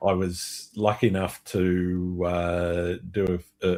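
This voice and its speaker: With an Australian accent, a man speaks in a very deep, low pitch on a very clean recording with a silent background. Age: 60s. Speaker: landscape photographer and podcast host. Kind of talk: casual interview chat.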